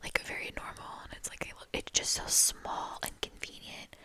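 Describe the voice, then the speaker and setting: Noticeable background noise accompanies whispering at a fairly slow pace. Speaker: ASMR creator. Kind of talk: ASMR show-and-tell talk. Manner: whispered; casual, rambling.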